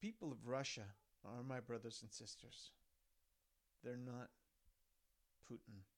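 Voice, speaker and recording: A man's medium-pitched voice at a moderate pace, broken by long, frequent pauses. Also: ordinary pitch variation. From Sherwood Park, Alberta, Canada. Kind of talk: reading aloud. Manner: emphatic.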